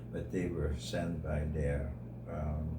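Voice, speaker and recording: A man's very deep, low voice at a fairly slow pace, with noticeable background noise and audible room echo. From Netherlands. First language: Dutch. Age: 80s+. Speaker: interviewee sharing life story. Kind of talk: radio interview.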